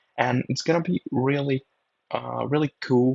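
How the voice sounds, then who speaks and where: A man speaks in a Brazilian accent. His intonation stays fairly even. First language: Portuguese. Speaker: drone videographer. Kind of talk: voiceover commentary. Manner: halting.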